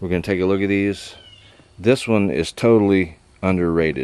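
A man with a very deep, low pitch talks at a moderate pace with fairly even intonation, in a dry sound with no echo. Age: 60s. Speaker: knife reviewer and knife maker; knife reviewer. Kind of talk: casual product review. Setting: outdoors. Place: garden. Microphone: camera far.

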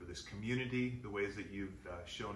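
A man at a moderate pace with ordinary pitch variation, amid light background noise and audible room echo. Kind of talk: conversational address, thanks. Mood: warm, grateful. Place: home room. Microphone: camera far.

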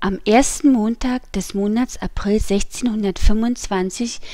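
A woman speaks with a dark, mellow tone at a fairly slow pace. Her pitch sits fairly high. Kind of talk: audiobook reading.

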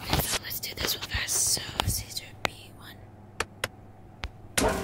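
Whispering comes from a woman. She goes at a fairly slow pace. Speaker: ASMR gaming content creator. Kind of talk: casual let's play commentary. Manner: whispered, soft-spoken.

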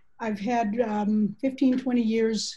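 A woman speaks in a dark, mellow, somewhat breathy tone. Her intonation is monotone and flat, over a quiet background. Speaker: agile consultant and author. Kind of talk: panel presentation. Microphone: video call.

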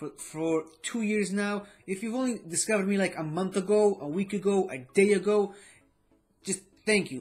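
A man speaks at a high pitch and a moderate pace. His intonation stays fairly even over faint music in the background. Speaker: vlogger. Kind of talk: casual vlog chat. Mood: grateful, warm. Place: home room.

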